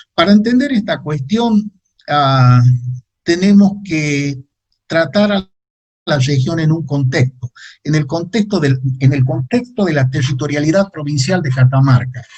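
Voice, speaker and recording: A somewhat breathy man with a fairly high pitch and lively intonation at a fairly slow pace. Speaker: geographer giving a talk. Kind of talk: lecture. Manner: halting with many fillers.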